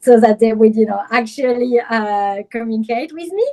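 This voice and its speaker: With a French accent, a woman is talking. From France, Paris. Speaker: image consultant and personal stylist. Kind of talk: interview.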